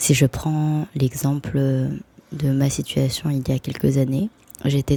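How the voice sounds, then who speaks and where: At a very slow pace, a woman speaks with a very deep, low pitch in a monotone, flat intonation. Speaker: spiritual vlogger. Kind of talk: casual vlog monologue.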